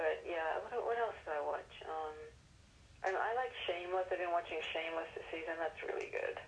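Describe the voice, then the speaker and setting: Through noticeable background noise, a woman with an American accent speaks at a moderate pace. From London area, England. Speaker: actress. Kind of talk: casual interview.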